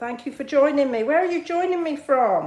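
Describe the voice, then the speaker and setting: The woman's voice sits at a high pitch. Audible room echo surrounds it. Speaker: card-making demonstrator. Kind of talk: live craft tutorial with chat. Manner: casual, chatty.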